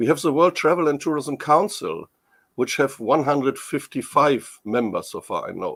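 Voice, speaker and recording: A man talks at a moderate pace with a German accent. The recording is very clean, with a silent background. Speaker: tourism industry expert. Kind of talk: interview. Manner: halting.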